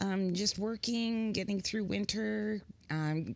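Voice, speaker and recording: With a Midwestern US accent, a woman speaks at a very slow pace with ordinary pitch variation in a very clean recording with a silent background. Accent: US Midwest. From US Midwest, Pontiac, Michigan and Kansas. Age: 60s. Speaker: musician and writer. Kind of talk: casual chat. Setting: studio.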